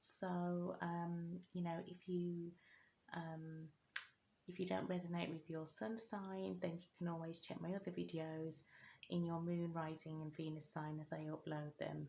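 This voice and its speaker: The intonation stays monotone and flat, the voice is somewhat breathy, and the tone is dark and mellow. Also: woman, fairly slow pace. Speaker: tarot reader. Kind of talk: tarot reading video. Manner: hesitant, many fillers.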